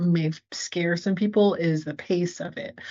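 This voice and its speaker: A woman speaks fairly slowly in a fairly low voice with ordinary pitch variation. She has an ordinary speaking voice. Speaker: interviewer, podcast host. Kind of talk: interview questions.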